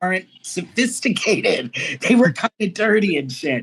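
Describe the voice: A fairly slow pace, big pitch swings and a slightly husky edge. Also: woman, medium pitch for a woman.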